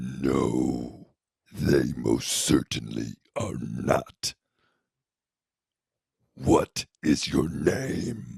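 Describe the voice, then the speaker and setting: A man growls in a put-on character voice with a very deep, low pitch. He goes at a very slow pace with long, frequent pauses. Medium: stage play. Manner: contemptuous, commanding.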